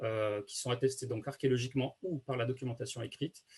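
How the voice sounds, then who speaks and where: Very fast and somewhat breathy, a man talks at a medium pitch with monotone, flat intonation. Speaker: archaeologist. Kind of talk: lecture. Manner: many hesitations.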